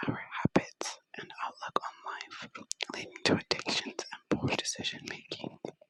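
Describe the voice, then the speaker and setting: The voice is whispering. It keeps a moderate pace. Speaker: ASMR creator. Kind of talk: ASMR book reading.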